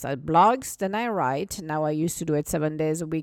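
An animated woman's voice, very deep and low in pitch, with a non-native accent, ordinary pitch variation, a moderate pace and a very clean recording over a silent background. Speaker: podcast host and business coach. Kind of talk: solo motivational podcast talk. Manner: animated, laughs often.

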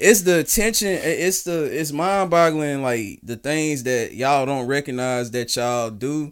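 Lively intonation at a fairly slow pace. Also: man, fairly high pitch for a man. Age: 30s. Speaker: podcast co-host. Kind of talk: casual chat. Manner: animated.

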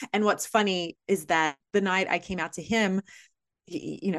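Recorded dry and close with no echo over a quiet background, a woman speaks in an Australian accent. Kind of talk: casual chat.

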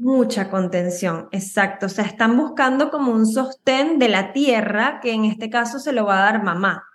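A woman talks at a moderate pace with hardly any pauses, a fairly high pitch and ordinary pitch variation. Her loudness stays very even in a plain, everyday voice. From Venezuela. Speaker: Ayurveda practitioner. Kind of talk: casual interview.

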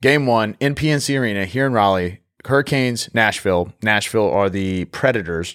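At a moderate pace, the clear, smooth, fairly bright tone shows ordinary pitch variation on a very clean recording with a silent background. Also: man, fairly low pitch for a man.

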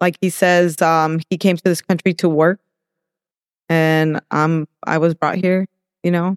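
A woman with a slight Mexican accent speaks at a fairly slow, fairly low pitch in a monotone, flat delivery with long, frequent pauses. The recording is very clean with a silent background and a dry, close sound with no echo. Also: very even loudness. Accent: slight Mexican-accented American English. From Mexico, raised in Southern California (El Monte). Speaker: chef and restaurant owner. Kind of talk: casual interview. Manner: laughs often.

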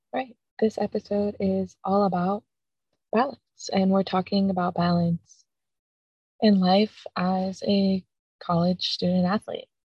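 In a dry, close sound with no echo, a woman of medium pitch speaks at a fairly slow pace with fairly even intonation, a dark, mellow tone, a somewhat breathy quality, and long, frequent pauses. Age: 20s. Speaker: podcast host, recent graduate and former college athlete. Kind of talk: solo podcast monologue.

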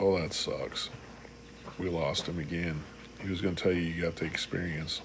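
A man with a very deep, low pitch speaks at a moderate pace in a monotone, flat intonation. Long, frequent pauses break his speech, and there is noticeable background noise. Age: 50s. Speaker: podcast co-host. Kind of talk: casual chat.

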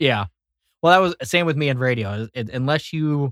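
A man with an unremarkable speaking voice, fairly high in pitch, at a moderate pace, on a very clean recording with a silent background and a dry, close sound with no echo. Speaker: podcast host. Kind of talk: casual chat interview. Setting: studio.

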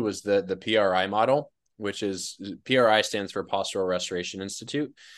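A man speaks in a normal speaking voice at a fairly quick pace, with ordinary pitch variation. The background is quiet. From New Jersey. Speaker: personal trainer and online fitness educator. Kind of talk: casual chat. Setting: video call.

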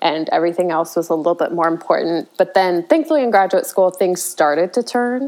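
Speaking in a Midwestern US accent, a woman has a fairly low pitch. Her intonation is lively. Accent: General American, Midwestern. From rural US Midwest. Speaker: muralist and artist. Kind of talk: interview.

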